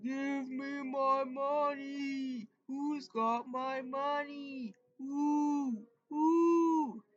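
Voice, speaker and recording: High in pitch and very slow, a put-on character voice. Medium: read story. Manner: crying, repetitive wailing.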